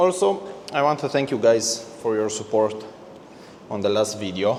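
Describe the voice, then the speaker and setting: Noticeable background noise accompanies a man with a non-native accent. He speaks at a moderate pace and a medium pitch. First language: not English. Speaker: car detailer. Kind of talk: tutorial. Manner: halting.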